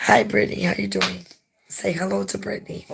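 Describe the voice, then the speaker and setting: In a put-on character voice, a man sounds hoarse and raspy, pitched fairly low and moving at a fairly quick pace. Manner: friendly greeting.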